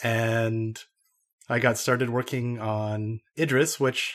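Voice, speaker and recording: A man with an Idaho accent speaks at medium pitch with monotone, flat intonation in a very clean recording with a silent background. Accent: American (Idaho). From US, Idaho. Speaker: computer science researcher. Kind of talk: casual interview chat.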